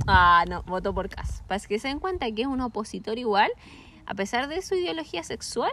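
With a Chilean accent, a woman talks at a moderate pace in a fairly high, bright, sharp voice, her animated tone swinging very widely in pitch. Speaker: podcast co-host. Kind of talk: casual chat.

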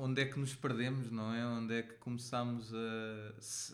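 Audible room echo surrounds a man with a European Portuguese accent who speaks at a very slow pace and a medium pitch in a monotone, flat intonation. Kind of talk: casual chat.

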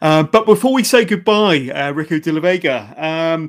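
A man with a British accent and lively intonation. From UK. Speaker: podcast host. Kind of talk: casual interview. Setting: remote call.

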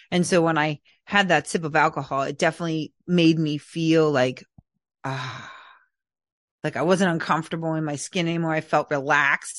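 A woman in an American accent speaks with a very deep, low pitch and fairly even intonation, the sound dry and close with no echo. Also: moderate pace. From Philadelphia area, US. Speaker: trauma healing coach. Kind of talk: interview. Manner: halting.

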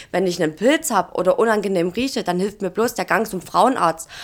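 A plain, everyday voice from a woman, medium in pitch, with ordinary pitch variation. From Saxony, Germany (Dresden). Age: 20s. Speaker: social media influencer and geriatric nurse. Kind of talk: casual chat.

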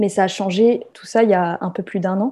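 A dark, mellow tone carries through, with pitch moving in an ordinary way. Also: woman. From France. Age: 30s. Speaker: sociology PhD student. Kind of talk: testimony. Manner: hesitant with repetitions.

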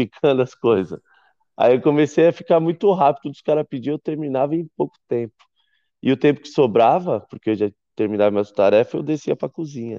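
In a normal speaking voice, a man talks at a fairly quick pace with a fairly high pitch, lively intonation, and big swings in loudness. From Brazil, São Paulo. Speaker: chef. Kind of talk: interview. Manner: casual.

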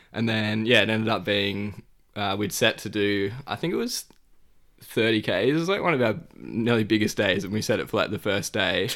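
A man talks in an ordinary speaking voice at a fairly low pitch. His pitch varies in an ordinary way. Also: moderate pace. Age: 20s. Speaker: hiker and traveller. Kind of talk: casual interview.

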